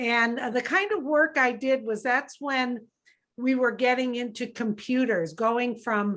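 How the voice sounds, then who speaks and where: Fairly slow speech from a woman with a high pitch. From US. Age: 60s. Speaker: business leader. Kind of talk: interview.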